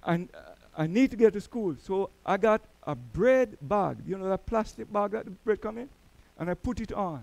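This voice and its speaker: A man with a Jamaican accent, high pitch and moderate pace, in a dry, close sound with no echo. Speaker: church elder, preacher. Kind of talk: sermon. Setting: church.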